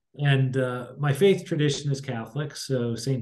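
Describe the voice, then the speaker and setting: This man has an American accent and a dark, mellow tone that is somewhat breathy. He speaks at a fairly slow pace with fairly even intonation against a quiet background. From Pittsburgh, Pennsylvania. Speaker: college president; guest. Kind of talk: interview. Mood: calm, measured. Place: office. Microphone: webcam.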